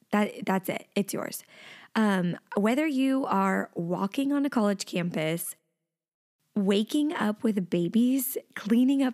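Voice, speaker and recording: An animated voice in an American accent, fairly slow in pace with ordinary pitch variation, in a very clean recording with a silent background. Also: woman. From Texas. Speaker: podcast host. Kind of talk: casual monologue.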